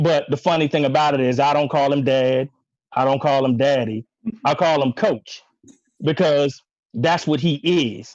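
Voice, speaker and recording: A man with an American accent and fairly high pitch talks at a moderate pace with ordinary pitch variation and long, frequent pauses, the sound dry and close with no echo against a quiet background. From US Mid-Atlantic, rural area near Lincoln University, Pennsylvania. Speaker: coach's son, former track athlete. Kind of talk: tribute speech on group call. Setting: online video call.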